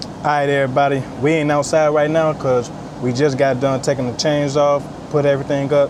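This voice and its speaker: A man with a fairly high pitch talks at a fairly quick pace in monotone, flat intonation, with noticeable background noise. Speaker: truck driver vlogger. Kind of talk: casual vlog. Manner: fast.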